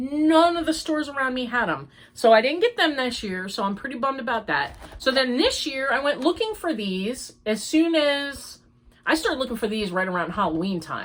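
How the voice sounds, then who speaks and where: A woman's high pitch, fairly quick pace and very wide pitch swings. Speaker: crochet podcaster. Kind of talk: casual chat. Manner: chatty.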